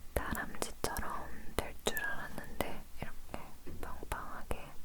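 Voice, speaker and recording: A woman whispers very slowly as noticeable background noise carries on. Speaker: ASMR creator. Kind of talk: ASMR whispered chat. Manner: whispered.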